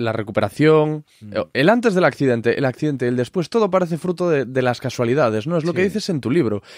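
A man speaks in a normal speaking voice, fairly high and fairly quick, with lively intonation. The sound is dry and close with no echo. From Galicia, Spain (Corcubión). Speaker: podcast host. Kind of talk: interview; sales pitch.

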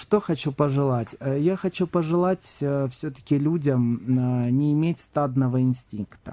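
A man's fairly high-pitched, dark, mellow voice at a very slow pace, with ordinary pitch variation and very even loudness. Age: 30s. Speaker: psychic; radio guest. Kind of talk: radio interview. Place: studio. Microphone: studio mic.

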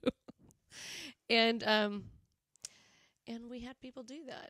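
A woman's fairly high voice with a Southern US accent, dry with no echo, over a quiet background. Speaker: band member hosting a live show. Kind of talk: casual live-stream chat. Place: home room. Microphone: studio mic.

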